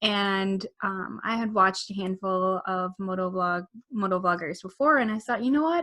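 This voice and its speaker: A woman speaks with a strong Midwest accent, her medium-pitched voice carrying a bright, sharp tone. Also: ordinary pitch variation, moderate pace. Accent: thick Midwest. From US Midwest. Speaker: motorcycle vlogger and wedding photographer. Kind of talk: casual chat.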